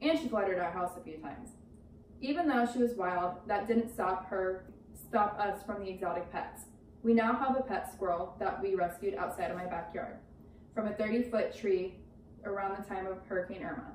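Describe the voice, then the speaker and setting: A woman speaks at a medium pitch and moderate pace, with ordinary pitch variation. Audible room echo and noticeable background noise surround her. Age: 20s. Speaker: college student. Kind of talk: class speech.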